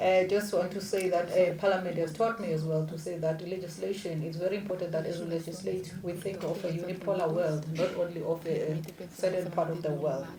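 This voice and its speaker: Noticeable background noise and audible room echo surround a woman with a fairly low pitch. She talks at a fairly quick pace with hardly any pauses, her intonation monotone and flat. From South Africa. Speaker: diplomat, former member of parliament. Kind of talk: panel discussion opening statement.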